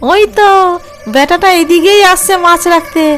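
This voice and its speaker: In a cartoonish character voice, a woman cackles at an extremely high pitch, her voice raised and projected at a moderate pace over clear background noise. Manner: gleeful, cackling.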